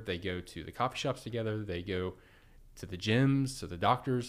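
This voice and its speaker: A man with an American accent and an unremarkable speaking voice talks at a fairly quick pace at medium pitch with ordinary pitch variation, in a very clean recording with a silent background. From Oklahoma, Edmond. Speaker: business executive. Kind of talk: casual chat.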